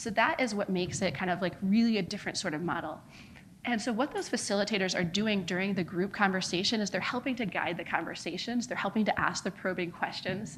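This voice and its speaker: A woman's very fast, somewhat breathy voice with an American accent, medium in pitch, ordinary in pitch variation, and carrying audible room echo. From United States. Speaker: non-profit founder. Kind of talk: conference talk.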